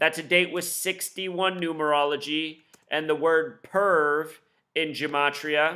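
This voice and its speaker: A man with a bright, sharp tone. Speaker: conspiracy commentator. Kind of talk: monologue commentary. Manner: fast; animated.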